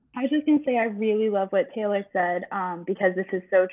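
Speaking at a fairly quick pace, a woman with an American accent uses a normal speaking voice, a medium pitch, and ordinary pitch variation. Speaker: university graduate and theme park employee. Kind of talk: casual chat.

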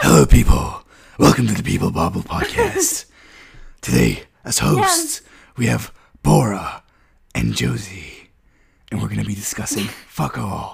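Using a put-on character voice, a man speaks at a moderate pace with long, frequent pauses. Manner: dramatic.

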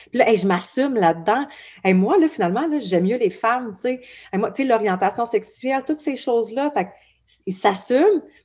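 A woman with a Quebec accent speaks at a fairly quick pace in a fairly high pitch, with lively intonation and big swings in loudness. The recording is very clean, with a silent background. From Quebec, Abitibi. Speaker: blog founder. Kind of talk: podcast interview. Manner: casual, many fillers.

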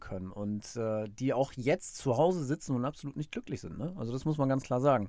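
This man talks at a moderate pace with ordinary pitch variation around a medium pitch. The recording is very clean, with a silent background. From northern Germany, Bremerhaven. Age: 30s. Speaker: podcaster. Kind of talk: casual monologue. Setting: home recording booth. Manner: casual with many fillers.

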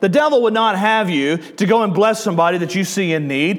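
A fairly quick voice with a Southern US accent carries lively intonation. Noticeable background noise runs beneath it. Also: man. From US South. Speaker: pastor. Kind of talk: sermon. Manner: animated.

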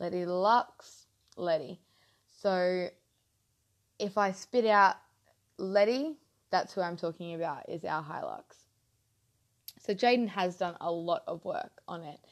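A woman of medium pitch speaks at a fairly slow pace with ordinary pitch variation and big swings in loudness. Long, frequent pauses break up her speech against a quiet background. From Queensland, Australia (Mackay). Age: 20s. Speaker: podcast host. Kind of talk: casual monologue. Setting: home lounge room. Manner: halting.

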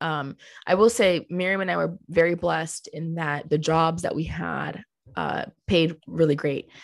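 A woman's fairly low voice with vocal fry, fairly slow and fairly even in intonation, over a quiet background. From Colombia. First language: Spanish. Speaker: clothing company co-founder. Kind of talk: interview.

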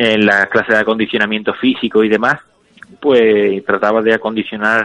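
This man talks at a very fast pace. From Spain. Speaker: professional MMA fighter. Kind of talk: interview.

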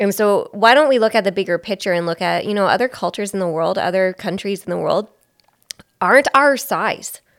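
A woman with a Canadian accent and an unremarkable speaking voice talks at a fairly quick pace, her medium pitch showing ordinary variation. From Belleville, Ontario, Canada. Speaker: podcast co-host. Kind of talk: casual chat.

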